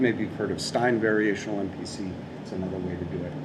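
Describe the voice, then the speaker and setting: A man is speaking with audible room echo. Noticeable background noise can be heard. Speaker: robotics professor. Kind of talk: lecture. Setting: seminar room with audience and live stream. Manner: fast; frequent fillers.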